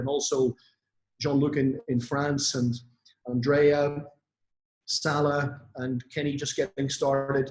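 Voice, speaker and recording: A man speaks at medium pitch in a somewhat breathy voice. His intonation is monotone and flat. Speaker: network marketing influencer. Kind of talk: motivational talk on online event. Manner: hesitant with fillers.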